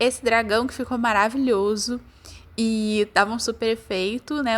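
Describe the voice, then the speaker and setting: Moderately paced female speech, a normal speaking voice sitting fairly high in pitch. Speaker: book vlogger. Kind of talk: vlog narration. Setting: at home. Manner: casual.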